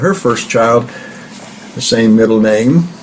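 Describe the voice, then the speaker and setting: With a Midwestern American accent, a man speaks at a moderate pace and ordinary pitch variation, amid noticeable background noise and audible room echo. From US Midwest (southeast Kansas). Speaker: grandfather interviewee. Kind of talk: oral history interview.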